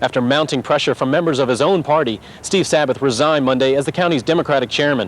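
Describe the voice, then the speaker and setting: A man talks at a very fast pace and a fairly high pitch, with ordinary pitch variation and very even loudness. There is noticeable background noise. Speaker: TV news reporter. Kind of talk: TV news report.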